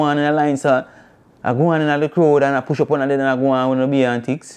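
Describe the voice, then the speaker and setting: In a Jamaican accent, a man talks at a very fast pace with a fairly high pitch. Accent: Jamaican patois. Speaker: talk show host. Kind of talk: freestyle rant to camera. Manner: passionate, animated.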